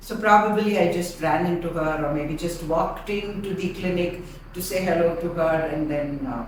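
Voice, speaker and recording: A woman speaks at a moderate pace in a room with audible echo. Noticeable background noise runs underneath. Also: fairly low pitch for a woman, ordinary pitch variation. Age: 60s. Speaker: entrepreneur and teacher. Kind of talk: testimony.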